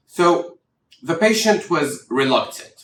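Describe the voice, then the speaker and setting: A man with an Arabic accent and lively intonation. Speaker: doctor. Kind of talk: tutorial. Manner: expressive intonation, demonstrates stress and rhythm.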